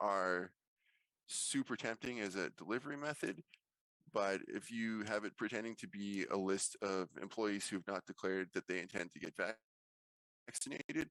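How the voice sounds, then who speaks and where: A man's fairly low-pitched voice, bright and sharp in tone, with lively intonation and a dry, close sound with no echo. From Canada, Winnipeg. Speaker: information security staff at a university, conference speaker. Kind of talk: conference talk.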